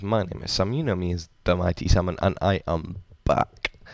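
At a moderate pace, a man talks in a very deep, low voice with ordinary pitch variation. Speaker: gaming YouTuber. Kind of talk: gameplay commentary. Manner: casual, some stammering.

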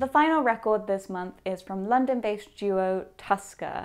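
A woman with an English accent, fairly high pitch, ordinary pitch variation and a moderate pace. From England. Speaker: music YouTuber; music reviewer. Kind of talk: unboxing review. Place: studio.

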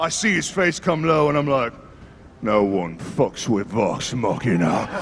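A put-on character voice goes at a moderate pace over clear background noise. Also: man, medium pitch for a man. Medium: actual play. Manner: loud, gruff, triumphant.

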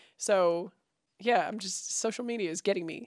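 A woman speaks at a medium pitch, the sound dry with no echo and the background quiet. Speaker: consumer lifestyle YouTuber. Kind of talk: casual talk to camera. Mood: relaxed, chatty. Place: home room. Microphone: handheld.

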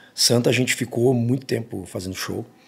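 The voice belongs to a man. He varies his pitch in an ordinary way. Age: 40s. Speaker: rock singer; guest. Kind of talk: casual interview. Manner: halting, many repetitions. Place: studio. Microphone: studio mic.

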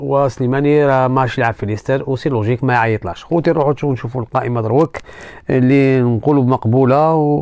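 Speaking at a moderate pace, a man has a medium pitch and fairly even intonation. His tone is dark and mellow. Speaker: football news youtuber. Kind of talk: casual sports commentary monologue.

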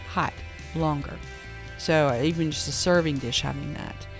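Faint music plays in the background of a dry sound with no echo. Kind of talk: casual vlog chat. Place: shop. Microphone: phone near.

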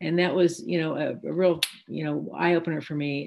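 A woman with an American accent speaks at a fairly quick pace. Her pitch is fairly low and her intonation fairly even. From US Midwest. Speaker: physician and Parkinson's advocate. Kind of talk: panel discussion. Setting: video call. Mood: reflective, candid. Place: home room. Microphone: video call.

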